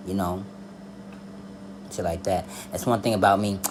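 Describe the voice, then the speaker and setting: Against noticeable background noise and audible room echo, a man with a fairly low pitch speaks at a fairly quick pace with fairly even intonation. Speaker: tarot reader and spiritual advisor. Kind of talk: casual personal monologue.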